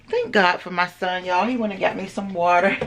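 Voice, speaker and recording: A woman speaks over noticeable background noise. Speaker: vlogger. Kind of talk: casual chat.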